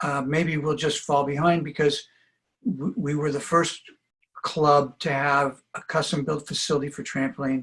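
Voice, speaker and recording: This man speaks at a moderate pace in a fairly high pitch, sounding somewhat breathy. His intonation stays fairly even. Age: 70s. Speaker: trampoline coach. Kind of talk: interview.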